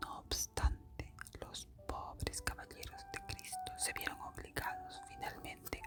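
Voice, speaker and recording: Whispering at a very slow pace, the speaker is heard over music in the background. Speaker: ASMR storyteller. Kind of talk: history narration. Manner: whispered.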